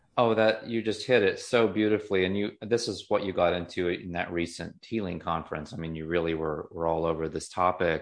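Over a quiet background, a man with an American accent talks at a fairly quick pace. His pitch is fairly low and his intonation fairly even. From US South, Appalachia. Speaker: podcast host. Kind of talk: interview conversation. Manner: halting, frequent repetitions.

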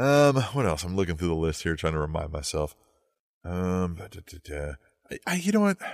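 A man with a very deep, low pitch talks at a fairly quick pace. His intonation is lively, and the recording is very clean with a silent background. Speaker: wrestling podcast co-host. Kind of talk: casual chat. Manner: loud.

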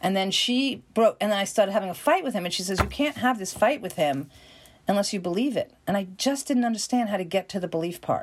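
A woman with a New York accent talks very fast in a medium-pitched voice, her tone animated and her intonation lively. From New York, Queens. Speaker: acting coach. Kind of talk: interview.

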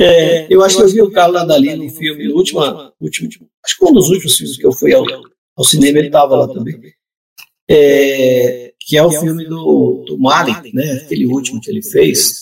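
A man talks at a fairly quick pace with a fairly high pitch and ordinary pitch variation. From Brazil, southern Pará (Amazon region). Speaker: writer. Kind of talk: casual chat. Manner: halting, repeats words.

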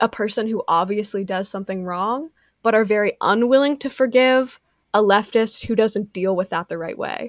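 Recorded with a dry, close sound and no echo, a woman with a normal speaking voice talks at a moderate pace, at a fairly high pitch and with ordinary pitch variation. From Canada. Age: 20s. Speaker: TikTok creator and writer. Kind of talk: casual interview chat. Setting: video call. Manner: articulate.

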